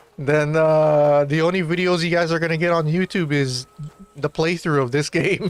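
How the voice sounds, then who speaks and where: A man speaks at a moderate pace and fairly high pitch with very even loudness. His intonation is fairly even, and background noise is noticeable. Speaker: streamer. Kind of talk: casual chat.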